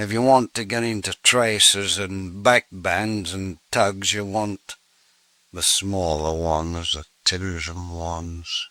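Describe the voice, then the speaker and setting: With an English accent, a man speaks at a very slow pace, his fairly low pitch carrying fairly even intonation. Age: old. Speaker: saddler. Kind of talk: interview answer. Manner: casual, demonstrating.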